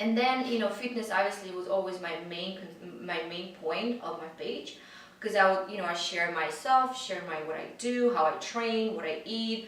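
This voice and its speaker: The speaker has a Russian accent and ordinary pitch variation, moving at a moderate pace with big swings in loudness. Noticeable background noise and audible room echo fill the recording. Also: woman, medium pitch for a woman. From Russia, Siberia. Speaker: fitness influencer. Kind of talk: interview. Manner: halting, many fillers.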